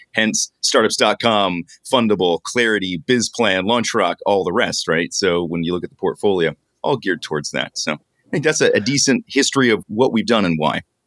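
An ordinary speaking voice from a man, fairly low in pitch with lively intonation, at a moderate pace, in a dry, close sound with no echo. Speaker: podcast host and startup founder. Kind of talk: casual conversational interview.

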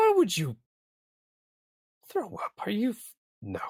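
A man performs a put-on character voice. He delivers it at a fairly slow pace. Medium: actual play. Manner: loud, open, lazy.

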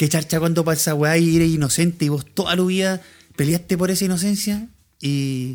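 With a Chilean accent, a man speaks in a high pitch at a moderate pace, with ordinary pitch variation and very even loudness. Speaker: podcast co-host. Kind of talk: casual chat.

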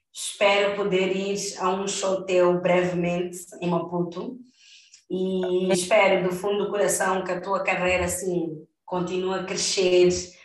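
A woman's medium-pitched voice moves at a fairly slow pace in monotone, flat intonation, with audible room echo. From Mozambique. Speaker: podcast host. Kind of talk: casual chat. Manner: halting.

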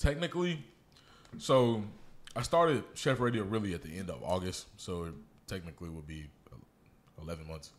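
Pausing long and often, a man with a very deep, low voice talks at a moderate pace, with very wide pitch swings and big shifts in loudness. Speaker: podcast host and DJ. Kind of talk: casual interview chat. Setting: studio.

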